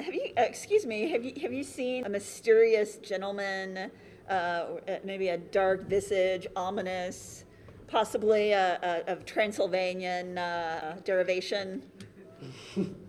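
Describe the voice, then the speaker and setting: A woman at a medium pitch and a fairly slow pace, with ordinary pitch variation and a plain, everyday voice. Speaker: tabletop roleplaying game player, podcast cast member. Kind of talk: live panel recording of a roleplaying game, casual and playful. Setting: stage with audience at a convention.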